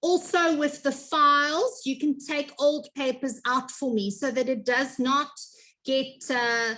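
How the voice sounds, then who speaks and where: A raised, projected voice with a bright, sharp tone moves at a very slow pace. The intonation stays fairly even. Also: woman. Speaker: grade one teacher. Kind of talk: information meeting for parents. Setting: video call.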